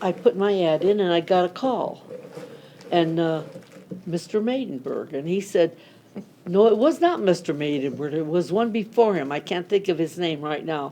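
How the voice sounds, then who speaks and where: This woman has an American accent and a fairly low pitch. She talks at a moderate pace with ordinary pitch variation over noticeable background noise. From US Midwest, Akron, Ohio. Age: 90s. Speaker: longtime local resident. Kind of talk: oral history interview. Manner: halting.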